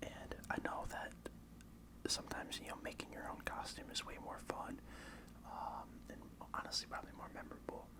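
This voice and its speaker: Whispering at a moderate pace, a man leaves long, frequent pauses over noticeable background noise. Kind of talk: ASMR whisper ramble to camera. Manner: whispered, soft-spoken, casual.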